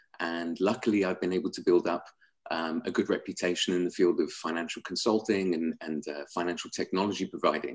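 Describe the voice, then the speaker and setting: A fairly quick pace in a London accent. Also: man. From England, London. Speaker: sales executive at a fintech company. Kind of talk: webinar presentation.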